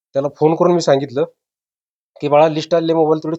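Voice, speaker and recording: Fairly high in pitch, a man talks in a plain, everyday voice. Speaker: father of recruit. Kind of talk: interview.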